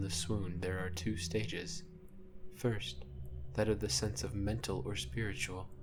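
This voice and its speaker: A man speaks at a fairly slow pace with music in the background. His pitch swings very widely. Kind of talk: ASMR whispered story reading; literary narration of a classic short story. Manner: whispered, soft-spoken.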